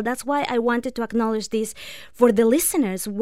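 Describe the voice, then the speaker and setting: A woman speaks with a non-native accent. Her pitch is high. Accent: foreign-accented English. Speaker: breakup and divorce recovery coach. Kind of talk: radio interview advice. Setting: radio studio.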